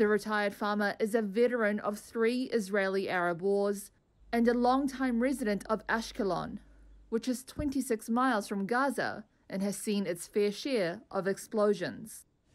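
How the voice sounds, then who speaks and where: A woman with a normal speaking voice talks at a moderate pace, her fairly high pitch showing ordinary variation. The recording is very clean, with a silent background. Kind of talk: news report narration.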